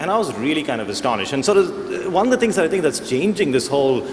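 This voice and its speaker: A man with an American accent and lively intonation, over noticeable background noise. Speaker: panelist on technology. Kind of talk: panel discussion.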